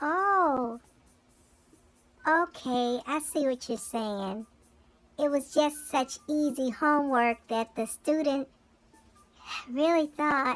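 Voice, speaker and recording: In a put-on character voice, a female-sounding speaker talks very slowly at a high pitch, leaving long, frequent pauses. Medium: comedy sketch. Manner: friendly, easygoing.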